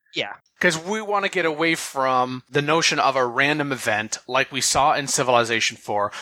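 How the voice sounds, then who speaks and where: Speaking at a moderate pace, a man has a bright, sharp tone and a fairly high pitch. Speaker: podcast co-host. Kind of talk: casual chat.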